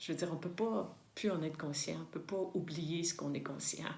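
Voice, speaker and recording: With audible room echo around her, a woman speaks at a fairly low pitch with ordinary pitch variation. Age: 60s. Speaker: spiritual vlogger. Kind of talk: reflective monologue to camera. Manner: halting, many fillers and repetitions.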